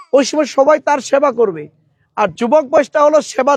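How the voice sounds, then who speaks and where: A man's voice with ordinary pitch variation, dry and close with no echo. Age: 40s. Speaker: political candidate. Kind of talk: campaign speech.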